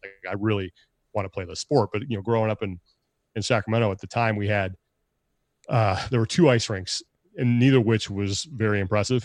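A man with an American accent and fairly low pitch, at a fairly quick pace broken by long, frequent pauses, with ordinary pitch variation, in a dry, close recording with no echo and a quiet background. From California. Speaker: sports broadcaster and podcast co-host. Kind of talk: casual interview.

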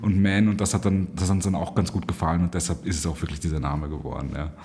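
A man talks with ordinary pitch variation. Behind him, music can be heard in the background. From Egypt (Cairo), German school. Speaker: event agency managing director. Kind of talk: interview.

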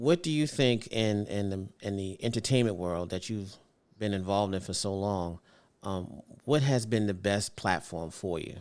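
On a very clean recording with a silent background, a man with an American accent speaks in a fairly low pitch at a moderate pace, his pitch varying in an ordinary way. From Brooklyn, New York. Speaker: podcast host. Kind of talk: interview.

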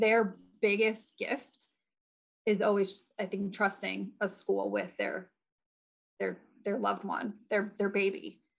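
A woman's medium-pitched voice with vocal fry and an American accent. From New Jersey. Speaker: educator and former school principal. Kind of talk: casual interview chat.

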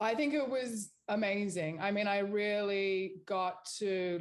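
A woman talks in an Australian accent, her pitch varying in an ordinary way. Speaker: beauty brand founder and CEO. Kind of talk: interview.

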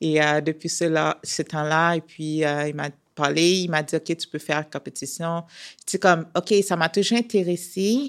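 A woman's plain, everyday voice, fairly low-pitched with ordinary pitch variation, at a fairly slow pace, in a very clean, dry, close recording with a silent background and no echo. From Haiti. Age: 30s. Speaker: professional athlete. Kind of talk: interview.

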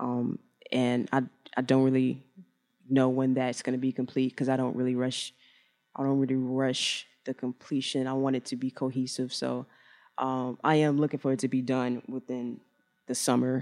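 The speaker has an American accent and talks at a moderate pace. The recording is very clean, with a silent background. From Chicago. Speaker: fashion designer. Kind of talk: interview. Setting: live event at a hotel. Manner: halting.

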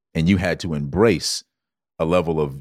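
A man with an American accent has a very deep, low pitch, vocal fry and an animated tone with ordinary pitch variation, in a very clean recording with a silent background and a dry, close sound with no echo. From US South, Georgetown, South Carolina. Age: 40s. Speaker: wellness coach. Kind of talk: casual chat.

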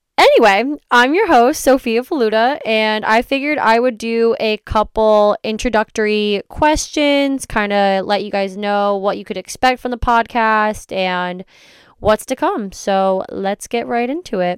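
A woman speaks at a fairly high pitch with ordinary pitch variation, at a fairly slow pace with hardly any pauses. The sound is dry and close with no echo, and the recording is very clean over a silent background. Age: 20s. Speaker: podcast host. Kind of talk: casual monologue. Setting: home recording in a closet. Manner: animated.

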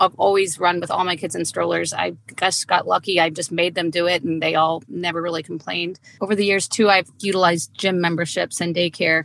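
Speaking at a fairly quick pace, a woman has a fairly low pitch and vocal fry. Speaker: coach's wife, amateur runner. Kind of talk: casual chat. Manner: animated.

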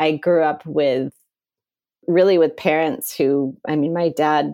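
Very slowly and with fairly even intonation, a woman with an American accent speaks in a very deep, low, dark, mellow voice. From US Midwest. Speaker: environmental activism marketer. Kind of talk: interview conversation. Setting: at home.

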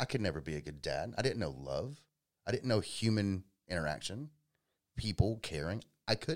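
With a Georgia accent, a man talks at a moderate pace in a fairly low pitch that makes very wide swings, broken by long, frequent pauses and marked by vocal fry. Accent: Southern American (Georgia). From US South, Georgia (Powder Springs). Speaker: electrician and small business owner. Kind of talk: casual interview, personal life story.

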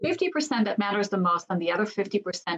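Her intonation is lively and her voice somewhat breathy. The woman speaks at a fairly quick pace with medium pitch. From Israel. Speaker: business consultant and executive coach. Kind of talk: interview. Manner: halting.

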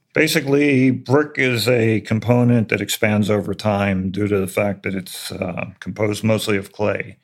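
A man's fairly low voice, a normal speaking voice, at a moderate pace with ordinary pitch variation, on a very clean recording with a silent background. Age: 60s. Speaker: retired mason and contractor. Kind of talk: interview about building construction.

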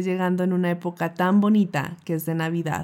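Speaking at a fairly quick pace, a woman has a medium pitch and a dark, mellow tone. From Colombia. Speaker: nutritionist and podcast host. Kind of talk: personal storytelling monologue.

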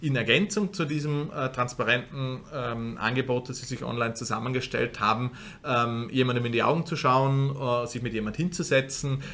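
A man's medium-pitched voice at a moderate pace. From Austria, Vorarlberg. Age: 30s. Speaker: funeral company co-founder. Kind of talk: interview. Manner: halting, many fillers.

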